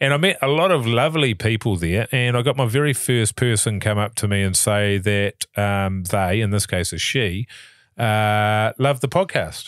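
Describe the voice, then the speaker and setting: In a very clean recording with a silent background, a man speaks with a New Zealand accent at a moderate pace. His fairly low pitch shows ordinary variation, and his loudness stays very even. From New Zealand, Levin area. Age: 40s. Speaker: podcast co-host, actor. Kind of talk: casual chat.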